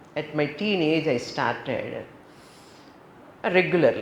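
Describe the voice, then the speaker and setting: A woman with an Indian accent speaks at a moderate pace in a fairly low pitch, with audible room echo. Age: 70s. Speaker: yoga teacher and spiritual teacher. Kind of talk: spiritual talk.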